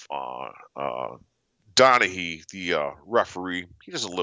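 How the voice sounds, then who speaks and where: A man speaks with a very deep, low pitch and lively intonation. Vocal fry runs through his voice. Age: 50s. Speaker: professional sports bettor. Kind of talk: casual chat. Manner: halting.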